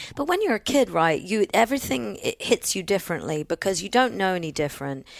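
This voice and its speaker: Very fast speech with very wide pitch swings comes in an American accent, the sound dry and close with no echo. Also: woman, medium pitch for a woman. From England, partly New Zealand. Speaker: singer-songwriter. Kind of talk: podcast interview.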